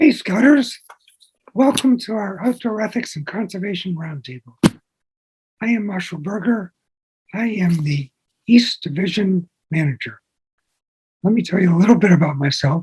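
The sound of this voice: A man with a high, raspy voice, a husky, rough edge and a slightly mellow tone talks at a moderate pace with lively intonation. He leaves long, frequent pauses, and the sound is dry and close with no echo.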